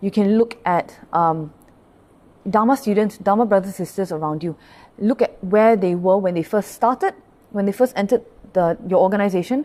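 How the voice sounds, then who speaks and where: Her tone is dark and mellow, at a medium pitch. The woman uses ordinary pitch variation. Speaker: Buddhist pastor. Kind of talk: dharma talk. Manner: fast.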